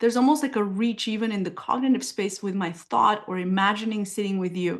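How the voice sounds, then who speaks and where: A woman with a Bulgarian accent, fairly high pitch and ordinary pitch variation at a fairly quick pace over a quiet background. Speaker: somatic therapist. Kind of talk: casual interview.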